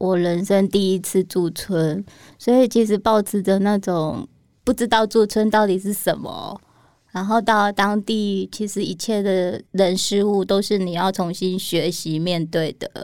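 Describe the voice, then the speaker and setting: A woman with a Taiwanese accent speaks at a fairly slow pace, in a medium pitch with fairly even intonation. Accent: Taiwanese Mandarin. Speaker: illustrator. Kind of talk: interview.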